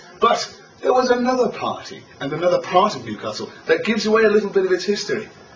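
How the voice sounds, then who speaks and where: Over noticeable background noise, a man speaks very fast at a high pitch with ordinary pitch variation. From northern England, Sunderland. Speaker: tour guide. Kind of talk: guided tour commentary. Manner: animated.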